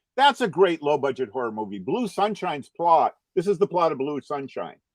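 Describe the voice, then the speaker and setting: In an American accent, a man with a fairly high pitch speaks in an animated tone, with vocal fry and very wide pitch swings, in a dry, close sound with no echo. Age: 60s. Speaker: cartoonist. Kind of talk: casual chat.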